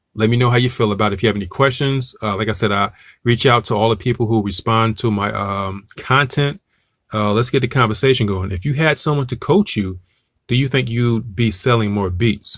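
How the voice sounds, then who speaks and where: Using an American accent, a man talks at a medium pitch that varies in a normal way. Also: fairly quick pace. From Newark, New Jersey. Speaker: music marketing coach. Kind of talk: online tutorial. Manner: casual, with frequent fillers and restarts.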